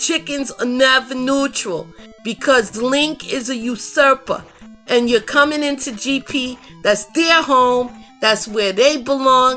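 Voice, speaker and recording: With music in the background, a woman speaks in a raised, projected voice. Her pitch is high and her pace is very slow. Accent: New York. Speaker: live game commentator. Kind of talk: live commentary. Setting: livestream broadcast. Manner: animated.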